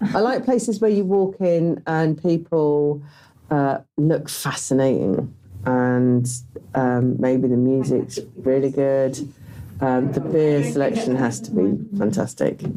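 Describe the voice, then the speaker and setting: A woman speaks at a very slow pace in a very deep, low pitch. Her tone is dark and mellow, and her intonation is lively. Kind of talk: podcast interview. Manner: loud; hesitant, many fillers.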